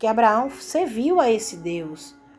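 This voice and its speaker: A woman talks very slowly at a medium pitch with lively intonation, with audible room echo and music in the background. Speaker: religious preacher. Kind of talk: sermon. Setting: recorded video. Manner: casual, conversational.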